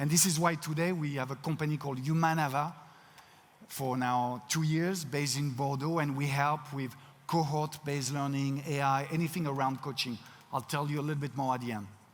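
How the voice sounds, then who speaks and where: A man with a French accent speaks at a fairly quick pace with fairly even intonation. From France. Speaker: keynote speaker, company CEO. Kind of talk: keynote talk. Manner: halting, frequent word repetitions.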